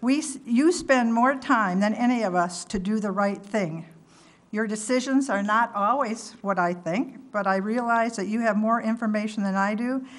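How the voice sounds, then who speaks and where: Audible room echo surrounds a woman's fairly high voice. She talks at a moderate pace with ordinary pitch variation. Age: 70s. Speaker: resident giving public comment. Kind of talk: prepared public comment at council meeting. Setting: town council meeting. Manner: formal.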